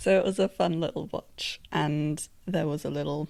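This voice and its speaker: Speaking at a fairly slow pace, this voice carries a British accent. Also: woman. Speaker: podcast host. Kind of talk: casual chat. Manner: animated.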